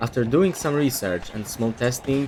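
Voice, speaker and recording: The speaker has a non-native accent and ordinary pitch variation, heard over noticeable background noise. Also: man. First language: not English. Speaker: gaming content creator. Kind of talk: scripted commentary video. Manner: reading from a script.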